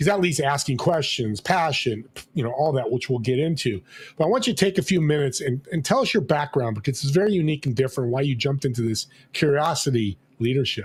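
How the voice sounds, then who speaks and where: A man talks at a very fast pace in a somewhat breathy, animated tone with lively intonation. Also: fairly high pitch for a man. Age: 60s. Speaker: talk show host. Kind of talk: interview show.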